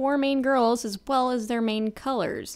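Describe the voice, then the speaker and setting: The speaker is a woman with a high pitch. She keeps a moderate pace and ordinary pitch variation. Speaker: YouTube commentator on an animated series. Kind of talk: ranting video essay. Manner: exasperated, sarcastic, emphatic.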